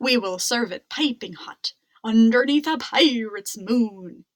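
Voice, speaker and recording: Doing a put-on character voice, a woman speaks at a fairly high pitch. She keeps a fairly slow pace. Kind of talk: pirate talk. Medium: read story. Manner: gruff, hearty.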